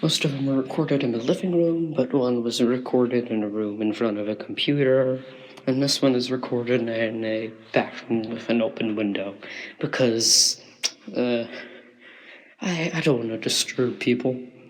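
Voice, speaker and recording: Quiet and medium-pitched, a man talks with ordinary pitch variation. Noticeable background noise and audible room echo surround his voice. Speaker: musician. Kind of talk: spoken interlude on album. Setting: bathroom with open window. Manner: deliberately quiet; normally loud.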